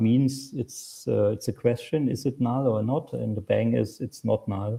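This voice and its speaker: Here a man speaks with a German accent. His pace is fairly slow. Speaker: software developer and conference speaker. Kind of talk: Q&A after a technical talk. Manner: halting.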